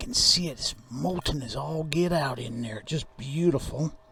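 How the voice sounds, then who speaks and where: Behind a man talking at a moderate pace, background noise is noticeable. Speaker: YouTube hobbyist metal refiner. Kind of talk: hands-on tutorial narration.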